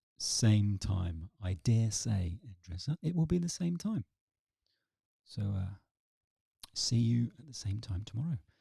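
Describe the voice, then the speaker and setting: A somewhat breathy voice with a dark, mellow tone moves at a fairly slow pace with long, frequent pauses, very wide pitch swings and big swings in loudness, in a dry, close sound with no echo. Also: man, medium pitch for a man. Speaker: English teacher. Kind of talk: live online class.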